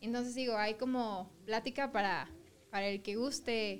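With a Mexican accent, a woman speaks at a fairly slow pace in a fairly high pitch with ordinary pitch variation. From southern Mexico. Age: 20s. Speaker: fashion design student. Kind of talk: casual chat.

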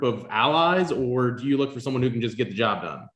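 With lively intonation and a plain, everyday voice, a man speaks at medium pitch and a moderate pace. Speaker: podcast co-host. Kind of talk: casual interview.

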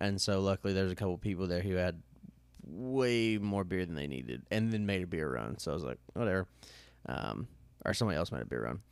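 With an American accent, a man speaks at a very fast pace in a very deep, low pitch with very wide pitch swings. The recording is very clean, with a silent background. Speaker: podcast host. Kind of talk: casual chat. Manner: halting, many fillers.

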